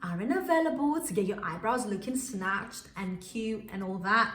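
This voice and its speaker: Very wide pitch swings at a moderate pace, with audible room echo and noticeable background noise. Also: woman. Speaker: beauty YouTuber. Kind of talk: casual tutorial vlog. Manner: animated.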